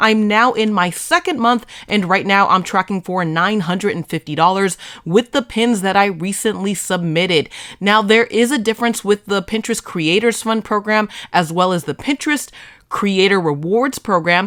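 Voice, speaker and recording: A woman with a Boston accent and medium pitch, ordinary pitch variation, and moderate pace, on a very clean recording with a silent background. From Boston area, US. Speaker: social media marketing creator. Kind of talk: tutorial.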